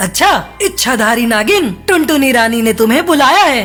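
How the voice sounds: Over clear background music, a cartoonish character voice with a fairly high pitch moves at a fairly slow pace.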